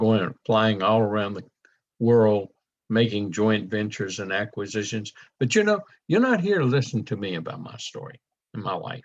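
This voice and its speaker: In a Louisiana accent, a man with fairly low pitch talks at a moderate pace, his pitch varying in an ordinary way while his loudness swings widely. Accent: southern US (Louisiana). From US South (south Louisiana). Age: 70s. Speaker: network marketing presenter. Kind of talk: sales presentation.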